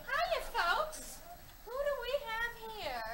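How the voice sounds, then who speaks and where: A woman's squeaky, put-on character voice at an extremely high pitch. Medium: stage play. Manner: breezy, brash.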